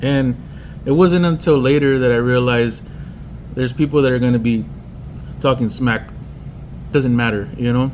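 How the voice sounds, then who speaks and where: Moderate pace from a man with medium pitch, ordinary pitch variation and long, frequent pauses, over noticeable background noise. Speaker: pinstriper and custom painter. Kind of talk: personal tribute monologue. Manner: halting.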